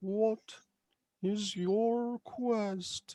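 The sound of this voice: Pitched fairly high, the voice is a put-on character act.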